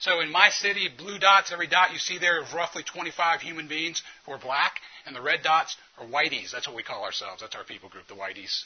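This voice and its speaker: A man's fairly high voice with an American accent, over noticeable background noise. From US South. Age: 40s. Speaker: physician and conference speaker. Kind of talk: conference talk. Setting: conference room with audience.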